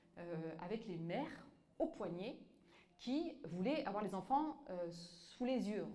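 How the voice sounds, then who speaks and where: Speaking very slowly with a North African accent, a woman uses a medium pitch with very wide swings, and audible room echo surrounds her voice. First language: Tamazight (speaking French). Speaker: author and activist. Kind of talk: public talk with audience. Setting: museum exhibition with live audience. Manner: halting, many fillers and repetitions.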